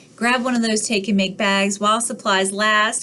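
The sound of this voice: Delivered in an unforced reading voice, the speech has fairly even intonation.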